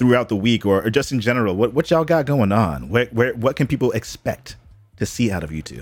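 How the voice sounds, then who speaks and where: Speaking at a very fast pace, a man with vocal fry and a medium pitch comes through on a very clean recording with a silent background. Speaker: podcast host. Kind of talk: casual chat. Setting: livestream. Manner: enthusiastic.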